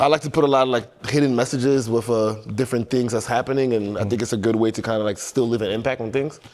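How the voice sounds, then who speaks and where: Over noticeable background noise, a man talks very fast with hardly any pauses, at a medium pitch with fairly even intonation. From France (born Equatorial Guinea), then New York from age eleven. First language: French. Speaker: clothing brand founder. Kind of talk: casual interview.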